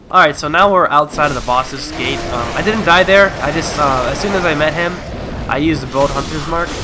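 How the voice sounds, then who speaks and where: Over music in the background, a man talks at a fairly quick pace in a fairly high voice with ordinary pitch variation. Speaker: gamer. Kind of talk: let's play commentary. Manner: casual.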